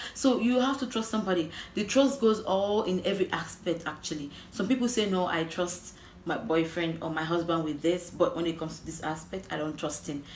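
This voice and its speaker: A woman's fairly low voice with lively intonation at a fairly quick pace, amid noticeable background noise and audible room echo. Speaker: relationship advice vlogger. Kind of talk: casual vlog monologue. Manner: fast.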